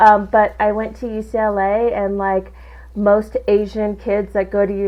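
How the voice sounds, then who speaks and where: Medium in pitch, a woman's voice moves along at a moderate pace. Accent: Southern Californian. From Southern California. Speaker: insurance agency owner. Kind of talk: interview conversation. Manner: casual, animated.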